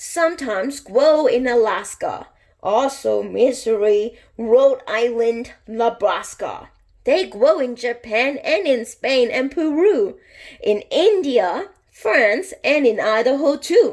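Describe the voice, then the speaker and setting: A woman's put-on character voice, high-pitched with lively intonation, at a fairly slow pace. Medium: read story.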